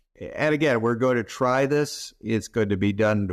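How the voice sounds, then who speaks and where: The background is quiet as a man speaks with an American accent. His pitch varies an ordinary amount. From Southern California. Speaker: healthcare technology executive and physician. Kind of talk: interview. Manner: clear, measured cadence.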